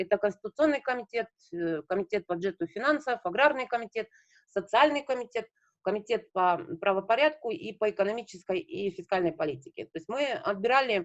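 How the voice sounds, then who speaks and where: A woman's fairly high voice with very wide pitch swings, at a fairly quick pace. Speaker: local government association representative. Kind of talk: online meeting presentation. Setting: video call. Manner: fast.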